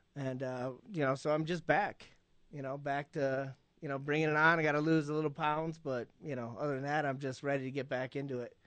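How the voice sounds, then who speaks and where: Against a quiet background, a man in an American accent speaks with an unremarkable speaking voice, fairly high in pitch, with fairly even intonation at a fairly quick pace. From Illinois. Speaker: rugby player. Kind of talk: radio interview.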